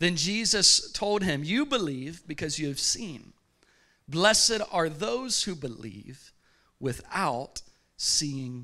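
Over a quiet background, a man speaks very slowly in a bright, sharp tone. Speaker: pastor. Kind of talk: sermon. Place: church. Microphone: handheld.

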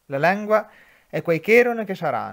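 In an Umbrian accent, a man talks fairly slowly with lively intonation. The recording is very clean, with a silent background. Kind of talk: poetry reading.

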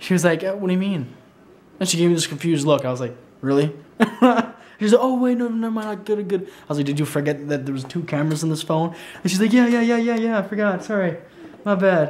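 The pace is very fast. The intonation is lively. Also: man. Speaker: vlogger. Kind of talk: casual vlog chat. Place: home room. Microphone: phone near.

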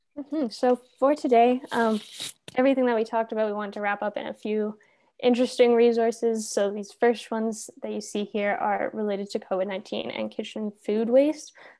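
The voice moves at a fairly quick pace with fairly even intonation and a dark, mellow tone over a quiet background. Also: woman, fairly high pitch for a woman. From Canada. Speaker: undergraduate student, workshop co-host. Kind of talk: online workshop. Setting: video call. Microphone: video call.

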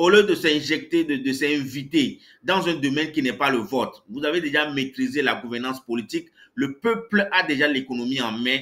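With a bright, sharp tone, a man speaks in a fairly high voice. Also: lively intonation, moderate pace. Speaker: economist. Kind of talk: panel discussion. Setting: video call.

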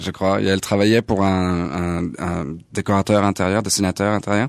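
A man's very deep, low voice at a moderate pace, with a slight American accent. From Paris suburbs, France. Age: 40s. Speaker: jazz pianist. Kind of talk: interview. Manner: halting, repeats words.

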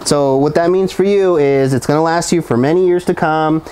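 The man's speech carries ordinary pitch variation. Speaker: RV salesman. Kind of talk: product walkthrough tour. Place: street. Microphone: lapel.

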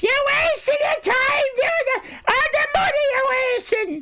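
A female-sounding put-on character voice, pitched extremely high for a woman, speaks at a fairly slow pace. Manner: scolding, exasperated.

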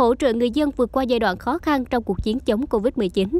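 A woman speaks at a high pitch and a fairly quick pace. Her intonation is lively. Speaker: news narrator. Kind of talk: scripted narration. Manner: formal.

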